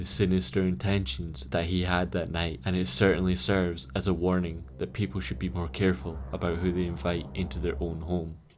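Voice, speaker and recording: A man's very deep, low voice with vocal fry, at a fairly quick pace. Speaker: YouTube storyteller. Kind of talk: true horror story narration.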